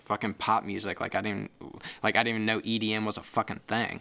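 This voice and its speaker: Very fast speech in an American accent with a bright, sharp tone. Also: man. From US Midwest, St. Louis area, Missouri. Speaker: audio engineer and music producer. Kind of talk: casual chat. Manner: hesitant, many fillers.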